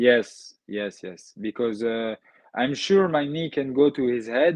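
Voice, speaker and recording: A man speaks with a French accent. His pace is fairly slow. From France. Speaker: MMA fighter. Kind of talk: interview. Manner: halting.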